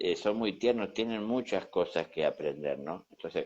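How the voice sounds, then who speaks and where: Moderate pace against a quiet background. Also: man. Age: 60s. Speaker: spiritual teacher. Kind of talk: conversational teaching talk. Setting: Instagram live conversation.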